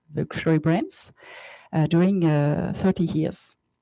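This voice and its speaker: A woman speaks with a French accent. Her intonation stays fairly even. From France, Paris. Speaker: company co-founder. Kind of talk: conference presentation. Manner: halting, many fillers.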